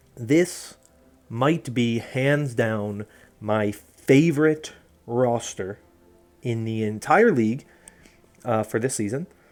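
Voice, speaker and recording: Music plays in the background as a man of medium pitch talks at a very slow pace with long, frequent pauses and ordinary pitch variation. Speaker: esports commentator. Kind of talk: casual analysis talk to camera.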